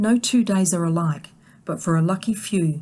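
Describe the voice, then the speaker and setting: A woman speaks at a moderate pace with a fairly low pitch, a warm tone and a dark, mellow quality. Her voice is somewhat breathy. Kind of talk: scripted nature documentary narration. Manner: measured, warm, gently awed storytelling pace; clear, formal, polished delivery.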